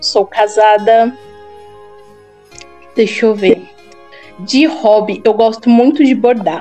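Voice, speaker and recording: Over background music, a woman with a Paulista accent speaks at a very slow pace with long, frequent pauses. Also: fairly high pitch for a woman, ordinary pitch variation. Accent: Paulista Brazilian Portuguese. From São Paulo, Brazil. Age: 20s. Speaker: Portuguese teacher. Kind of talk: casual talk in online class conversation.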